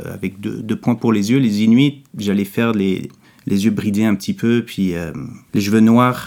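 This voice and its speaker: Fairly low in pitch, the man's voice has a dark, mellow tone and fairly even intonation. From Quebec. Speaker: comic book author. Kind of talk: interview.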